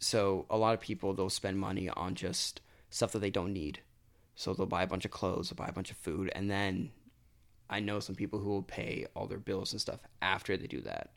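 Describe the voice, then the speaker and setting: With an American accent, a man with a fairly low pitch uses an unremarkable speaking voice, fairly even intonation, and a moderate pace on a very clean recording with a silent background. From Florida. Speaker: college student. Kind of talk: casual chat.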